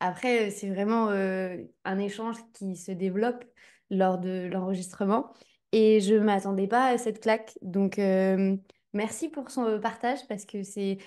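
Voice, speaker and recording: At a fairly slow pace, a woman speaks with a dark, mellow tone, medium pitch and fairly even intonation. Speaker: podcast host. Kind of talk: podcast interview.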